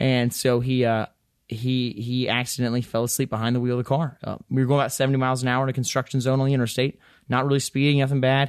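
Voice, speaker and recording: Against a quiet background, a man with an Appalachian accent talks at a very fast pace in a medium pitch and a monotone, flat intonation. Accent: Southern US (Appalachian). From Western North Carolina. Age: 20s. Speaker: congressional candidate. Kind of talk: interview. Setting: studio. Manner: halting, many fillers.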